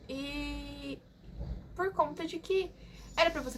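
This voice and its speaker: A woman speaks with lively intonation. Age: 20s. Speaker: vlogger. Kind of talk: casual chat. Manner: animated.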